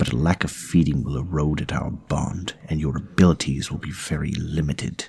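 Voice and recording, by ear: A man puts on a character voice pitched extremely low, husky and rough-edged with vocal fry, slightly mellow in tone, delivered at a moderate pace with fairly even intonation.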